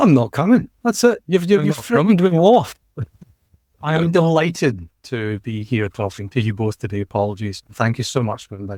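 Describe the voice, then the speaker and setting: With a Scottish accent, a man speaks at medium pitch in a dark, mellow tone, showing very wide pitch swings and big swings in loudness in a dry, close sound with no echo. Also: moderate pace. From Scotland. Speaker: podcast guest.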